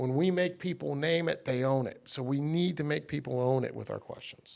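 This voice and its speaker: Ordinary pitch variation marks this speech, which moves at a moderate pace. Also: man, fairly high pitch for a man. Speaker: sales trainer. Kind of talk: casual chat. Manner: loud; animated.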